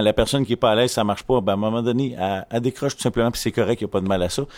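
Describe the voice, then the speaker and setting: A man speaks with a Quebec accent at a medium pitch. His pitch varies in an ordinary way. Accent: Québécois French. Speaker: volunteer association vice-president. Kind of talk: casual chat. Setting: makeshift studio at an event.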